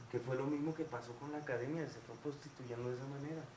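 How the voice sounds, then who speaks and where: Speaking with a Mexican accent, a man talks at a fairly quick pace in a fairly high pitch with fairly even intonation. Room echo is audible, and there is noticeable background noise. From Mexico City, with 11 years in Guadalajara. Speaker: singer. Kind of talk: casual chat.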